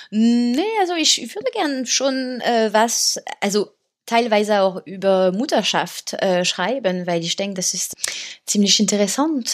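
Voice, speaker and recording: Speaking in a French accent, a woman with a fairly high pitch uses lively intonation at a fairly slow pace. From France, Paris. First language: French (speaking German). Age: 30s. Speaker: author. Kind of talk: interview. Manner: halting, many fillers.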